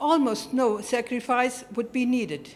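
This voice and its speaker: A woman with a German accent and a high pitch. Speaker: award recipient, network representative. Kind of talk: acceptance speech. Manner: formal.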